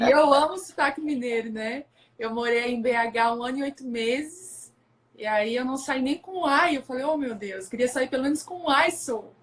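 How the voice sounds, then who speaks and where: A woman with a strong southern Brazilian accent, high in pitch, at a moderate pace and with ordinary pitch variation. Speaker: pastor's wife, women's ministry speaker. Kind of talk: religious live stream conversation. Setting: live stream, locked in bedroom at home.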